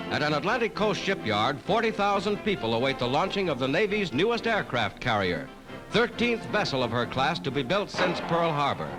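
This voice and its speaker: A dramatic tone at a fairly quick pace, with very wide pitch swings, very even loudness and music in the background. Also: man, fairly high pitch for a man. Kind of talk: 1940s wartime newsreel narration. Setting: archival film soundtrack. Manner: dramatic, authoritative.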